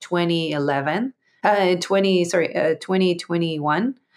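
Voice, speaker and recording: This woman speaks at a fairly low pitch with an Israeli accent. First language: Hebrew. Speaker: entrepreneur and public speaker. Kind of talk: interview conversation. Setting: online audio room. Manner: halting.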